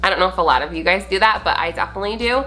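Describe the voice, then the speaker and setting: An energetic woman's voice over noticeable background noise. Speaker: beauty vlogger. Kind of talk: tutorial. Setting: home video recording. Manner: loud; energetic, brisk.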